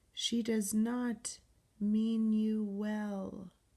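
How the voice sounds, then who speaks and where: Someone whispers in a put-on character voice. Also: woman. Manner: whispering, eerie.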